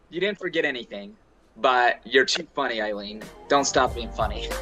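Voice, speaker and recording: With an American accent, a man talks at a moderate speed while music plays behind him. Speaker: podcast guest, self-advocate, entrepreneur.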